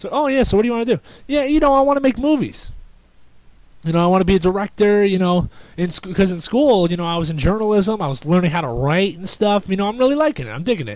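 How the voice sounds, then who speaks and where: A man talks at a very fast pace in an animated tone, his high pitch leaping through very wide pitch swings. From New Jersey. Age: young. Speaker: podcaster. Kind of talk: casual monologue. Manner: stuttering.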